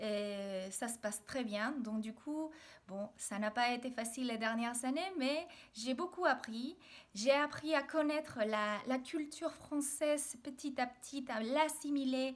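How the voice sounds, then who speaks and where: A woman with a Mexican accent speaks very slowly. Her voice is high, with ordinary pitch variation. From Mexico, Mexico City. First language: Spanish (speaking French). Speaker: video blogger. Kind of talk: personal video diary. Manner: hesitant, many fillers.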